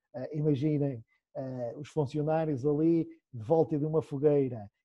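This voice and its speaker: A man's fairly high, somewhat breathy voice at a fairly slow pace, with fairly even intonation. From Portugal, Esmoriz. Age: 30s. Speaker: cooper, cooperage business owner. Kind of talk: interview, explaining craft.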